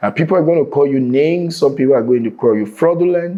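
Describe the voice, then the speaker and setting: A man speaks with a Nigerian accent. His pace is fairly quick and his intonation lively. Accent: Nigerian (Yoruba) English. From Nigeria, Lagos. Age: 40s. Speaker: real estate entrepreneur. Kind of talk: interview.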